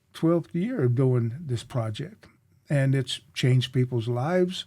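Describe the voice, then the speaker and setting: Somewhat breathy with a dark, mellow tone, the speaker uses an American accent at a fairly slow pace, with ordinary pitch variation and very even loudness. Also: man, medium pitch for a man. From US South. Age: 70s. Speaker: community leader and speaker. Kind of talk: interview conversation.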